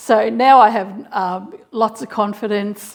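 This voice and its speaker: This woman speaks with an Australian accent. Her pitch sits in the medium range. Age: 60s. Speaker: sewing YouTuber. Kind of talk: casual chat. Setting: home sewing and dance room. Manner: relaxed, conversational.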